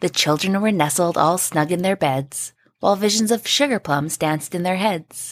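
A woman with a normal speaking voice talks at a moderate pace and fairly low pitch, with ordinary pitch variation and very even loudness, in a dry, close sound with no echo. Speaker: podcast co-host. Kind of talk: poem reading, trading stanzas aloud. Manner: bright, rhythmic, sing-song storybook delivery.

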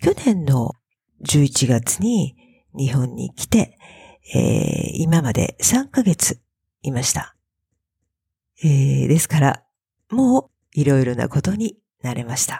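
A woman speaks at a very slow pace, leaving long, frequent pauses. The sound is dry and close, with no echo. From Japan, Fukuoka. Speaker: Japanese language teacher podcaster. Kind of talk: language lesson monologue.

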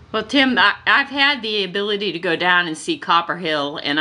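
A woman's ordinary speaking voice at a moderate pace, with lively intonation. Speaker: podcast host. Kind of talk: interview.

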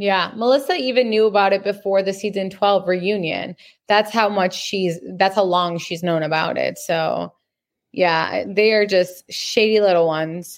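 A woman speaks at a medium pitch with fairly even intonation. It is an ordinary speaking voice. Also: fairly slow pace. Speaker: podcaster. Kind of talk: casual chat. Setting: video call.

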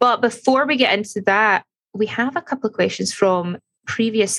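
A woman with a Scottish accent speaks with vocal fry and ordinary pitch variation, in a dry, close sound with no echo. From Scotland. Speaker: podcast co-host. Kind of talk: casual chat.

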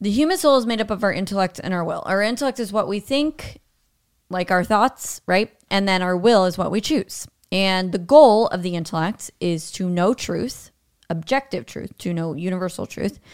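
An ordinary speaking voice, a woman's at medium pitch, comes at a moderate pace with lively intonation in a very clean recording with a silent background. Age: 40s. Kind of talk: casual chat.

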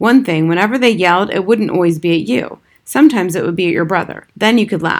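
The reading voice here is unforced.

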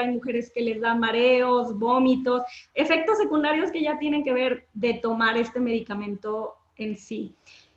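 A woman speaks at a fairly slow pace with a high pitch. Her pitch varies in an ordinary way. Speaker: menstrual health educator. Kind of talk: casual interview. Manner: calm, relaxing.

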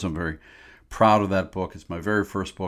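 This man has a fairly low pitch and fairly even intonation, in an American accent. The recording is very clean with a silent background. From Pittsburgh, US. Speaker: podcast host, author. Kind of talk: casual monologue. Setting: home writing shed. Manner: hesitant, many fillers.

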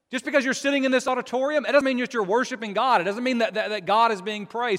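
A man talks at a very fast pace in an extremely high pitch. His pitch varies in an ordinary way. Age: 40s. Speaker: preacher. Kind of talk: sermon. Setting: church service with congregation. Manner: halting, many repetitions.

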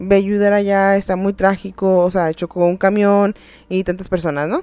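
At a fairly quick pace, a woman speaks in a dark, mellow tone with fairly even intonation. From Tijuana, Mexico. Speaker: podcast host. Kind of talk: casual storytelling chat.

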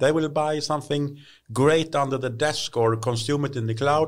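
A man's fairly high voice with a Swedish accent at a moderate pace. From Sweden, Hälsingland. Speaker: tech industry expert. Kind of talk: casual interview.

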